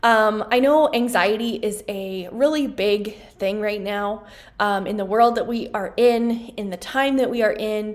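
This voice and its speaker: Fairly high in pitch, a woman talks at a fairly slow pace with fairly even intonation. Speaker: wellness coach and acupressure practitioner. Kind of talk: casual explainer video.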